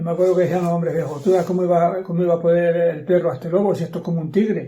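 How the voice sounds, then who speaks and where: A man with a high pitch and a dark, mellow tone talks at a very fast pace. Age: 80s+. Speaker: retired farmer and former shepherd. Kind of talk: interview answer. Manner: stammering, repetitive.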